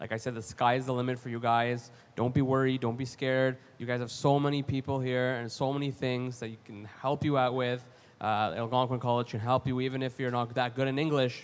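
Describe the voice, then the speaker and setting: In a Canadian accent, a man speaks with an animated tone at a fairly quick pace. His pitch sits in the medium range. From Canada, Ottawa. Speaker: college graduate panelist. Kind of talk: panel discussion.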